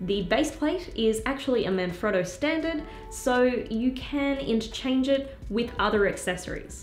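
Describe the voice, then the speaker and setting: Over noticeable background noise, a woman speaks at a fairly slow pace with an upbeat tone and lively intonation. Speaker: filmmaking gear YouTuber. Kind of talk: product review to camera.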